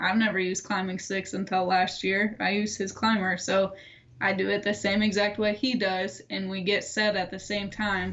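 Speaking at a fairly slow pace with an American accent, a woman holds a medium pitch and a monotone, flat intonation. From Michigan (Middleville). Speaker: bowhunter. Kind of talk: casual chat.

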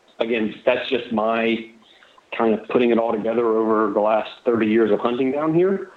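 Moderate pace, ordinary pitch variation and very even loudness, with a Florida accent. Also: man, medium pitch for a man. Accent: US Southern (Florida). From Southwest Florida. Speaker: deer hunter. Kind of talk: casual chat.

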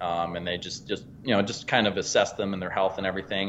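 Talking at a very fast pace, a man with an American accent uses a fairly low pitch. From Pennsylvania. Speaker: hunting and fishing guide, business owner. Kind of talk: casual interview chat. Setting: phone call.

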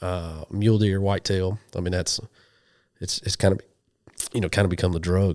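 The speaker talks at a moderate pace in a monotone, flat intonation, with long, frequent pauses, on a very clean recording with a silent background. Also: man, very deep, low pitch for a man. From western Oklahoma. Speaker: hunting TV host and ordained minister. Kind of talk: casual interview chat. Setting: in person, sharing a couch with the host.

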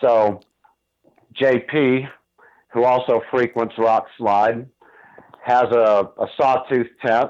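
Using a medium pitch, a man speaks at a very slow pace with monotone, flat intonation, very even loudness, and long, frequent pauses. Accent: American. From Northeast Ohio. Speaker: elk hunter, construction worker. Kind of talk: interview. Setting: phone call.

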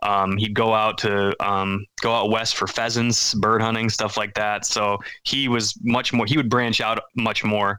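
A speaker with a Wisconsin accent talks at a fairly slow pace in a bright, sharp tone, keeping a monotone, flat intonation and very even loudness. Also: man, medium pitch for a man. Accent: Upper Midwest (Wisconsin). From central Wisconsin. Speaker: hunter, parent. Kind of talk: casual chat.

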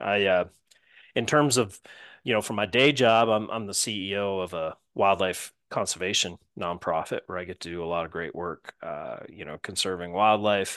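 A man's fairly low voice at a moderate pace, ordinary pitch variation and big swings in loudness, with a dry, close sound with no echo and a quiet background. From not the South, lived across US and Rocky Mountains. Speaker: hunter and doctor. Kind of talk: casual interview chat.

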